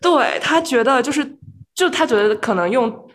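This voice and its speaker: A woman speaks fairly quickly and with lively intonation while noticeable noise sounds in the background. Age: 20s. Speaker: podcast host, medical student. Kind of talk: casual chat.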